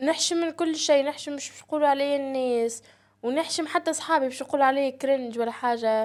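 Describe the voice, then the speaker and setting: A high-pitched woman talks at a fairly quick pace with fairly even intonation and big swings in loudness. The recording is very clean, with a silent background. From Tunisia. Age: 20s. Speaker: university student and content creator. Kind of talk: casual podcast interview.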